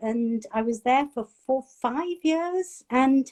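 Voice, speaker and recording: A woman speaks with a Cumbrian accent in a dark, mellow tone and lively intonation. The sound is dry and close, with no echo. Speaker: chef and food writer. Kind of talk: interview.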